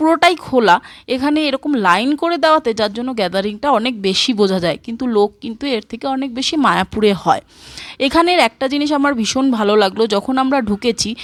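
Sounding dry and close with no echo, a woman speaks at a high pitch with lively intonation. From West Bengal, India (Nabadwip / Kolkata). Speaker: vlogger. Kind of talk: casual vlog narration.

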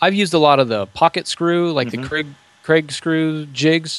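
A man's voice comes through as a dry sound with no echo. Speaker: podcaster and DIY trailer builder. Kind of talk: casual interview chat. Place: home room. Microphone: studio mic.

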